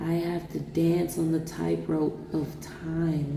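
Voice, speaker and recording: Very slowly, a woman speaks with audible room echo around her voice. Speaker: vlogger. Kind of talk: personal vlog monologue. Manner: animated; halting, stuttering at times.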